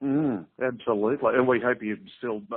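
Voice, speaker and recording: A man with an Australian accent talks with fairly even intonation. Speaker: interviewer. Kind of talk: interview. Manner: formal.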